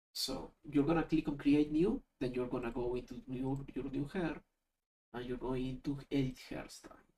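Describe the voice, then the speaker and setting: A non-native accent at a moderate pace. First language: not English. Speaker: YouTube tutorial creator. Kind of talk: screen-recorded software tutorial. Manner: casual, thinking aloud.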